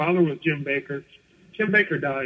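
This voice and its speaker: A man speaks at a fairly quick pace in an ordinary speaking voice. His pitch is fairly high. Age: 60s. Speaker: former commune member. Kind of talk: radio interview. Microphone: muffled.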